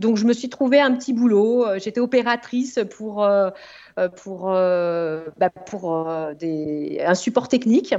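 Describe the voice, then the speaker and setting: Very slow delivery, the intonation lively throughout. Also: woman. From France, Yvelines (Sartrouville). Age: 40s. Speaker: marketing consultant and entrepreneur. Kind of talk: interview. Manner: hesitant, many fillers.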